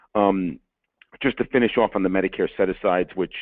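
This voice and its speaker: Someone with a New York accent talks at a fairly quick pace. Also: man. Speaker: lawyer. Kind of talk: webinar presentation. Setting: webinar. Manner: fast.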